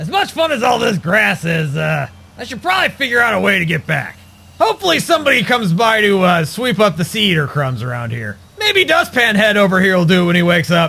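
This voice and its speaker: A man puts on a cartoonish character voice with a high pitch. He speaks at a very fast pace. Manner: sarcastic, grumbling.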